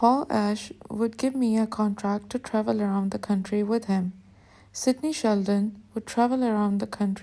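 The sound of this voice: The reading here comes in an unforced voice.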